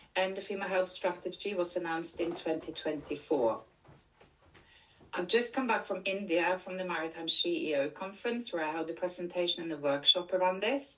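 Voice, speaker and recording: A woman speaks with a Norwegian accent at a fairly quick pace. Her pitch varies in an ordinary way. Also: medium pitch for a woman. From Norway. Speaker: leadership and menopause coach. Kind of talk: conference presentation.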